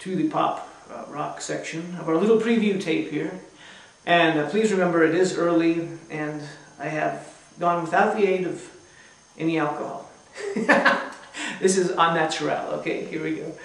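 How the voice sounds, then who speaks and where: A man's high-pitched voice at a moderate pace, fairly even in intonation, with long, frequent pauses and audible room echo. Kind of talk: casual stage patter between songs. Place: home room. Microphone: camera far.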